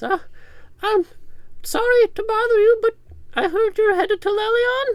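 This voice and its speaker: In a put-on character voice of extremely high pitch, someone speaks at a moderate pace with long, frequent pauses. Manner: polite, hesitant.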